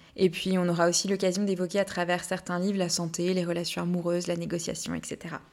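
With noticeable background noise, a woman speaks at a very fast pace with hardly any pauses, using a fairly low pitch and monotone, flat intonation. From Brittany, France. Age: 20s. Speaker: podcast host. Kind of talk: scripted monologue.

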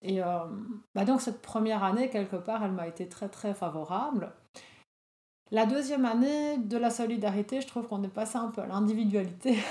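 This woman talks at a fairly quick pace with long, frequent pauses, her fairly high, somewhat breathy voice carrying a dark, mellow tone and ordinary pitch variation. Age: 40s. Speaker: social worker and wellness trainer. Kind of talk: casual interview.

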